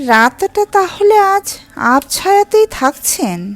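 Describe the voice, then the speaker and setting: Her pitch sits extremely high. The woman is doing a put-on character voice. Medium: read story. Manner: soft, coaxing.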